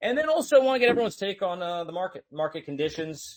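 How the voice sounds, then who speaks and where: A man with an American accent talks at a very fast pace, his pitch swinging very widely. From United States. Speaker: host of a crypto audio space. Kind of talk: casual panel discussion. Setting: online audio space.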